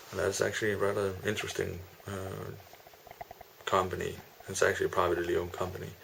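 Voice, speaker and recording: A man's very fast speech broken by long, frequent pauses, amid noticeable background noise and audible room echo. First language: Danish. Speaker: master's student vlogger. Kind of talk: vlog monologue. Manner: halting, many fillers.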